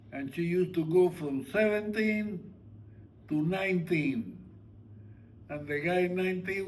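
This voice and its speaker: In a room with audible echo, a man with a high pitch speaks fairly slowly with ordinary pitch variation. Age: 90s. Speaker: family elder, retired sugar refinery worker. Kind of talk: casual family conversation. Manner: halting.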